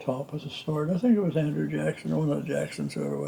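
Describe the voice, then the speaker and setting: Through noticeable background noise, a man with an American accent talks at a very fast pace and a medium pitch, his voice swinging very widely in pitch. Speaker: retired country doctor. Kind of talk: family storytelling. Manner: casual, anecdotal.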